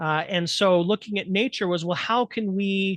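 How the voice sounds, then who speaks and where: Recorded with a dry, close sound, no echo and a quiet background, a man speaks at a moderate pace with ordinary pitch variation. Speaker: humanities instructor presenting. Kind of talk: presentation lecture.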